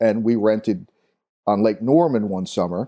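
A man with an American accent talks at a moderate pace. His voice sits fairly low in pitch and has a dark, mellow tone. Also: quiet background. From Long Island, New York. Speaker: former marine officer. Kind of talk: interview.

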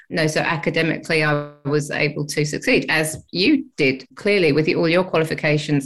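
Speaking at a moderate pace with fairly even intonation, a woman with an English accent has a fairly low pitch. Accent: English, living in Australia, noticeable. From England. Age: 50s. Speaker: ADHD advocate and educator. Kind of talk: interview chat.

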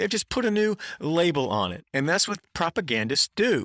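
A man with an American accent speaks in a bright, sharp tone with lively intonation. The sound is dry and close with no echo, on a very clean recording with a silent background. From US South, North Carolina (Durham). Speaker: podcast host, college sports commentator. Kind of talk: solo monologue analysis.

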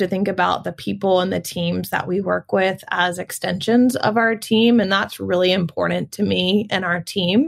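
A woman with an American accent speaks at a fairly slow pace and medium pitch, in a plain, everyday voice. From US South, Augusta, Georgia. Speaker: nonprofit marketing director. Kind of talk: interview.

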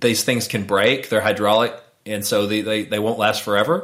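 Using a plain, everyday voice, a man speaks at a fairly low pitch and a fairly quick pace. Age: 40s. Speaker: urologist. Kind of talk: interview.

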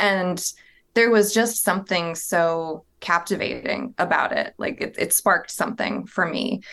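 A woman with an unremarkable speaking voice talks at a fairly slow pace, her medium pitch moving with ordinary variation. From US South, southern Virginia (Appalachia). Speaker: museum curator. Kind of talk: interview.

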